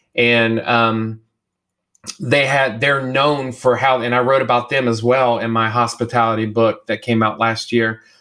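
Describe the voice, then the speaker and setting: A man with an American accent, bright and sharp in tone, flat and monotone in intonation, at a fairly slow pace with very even loudness. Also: medium pitch for a man. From US South, the Carolinas. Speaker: church consultant and author. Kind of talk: interview conversation.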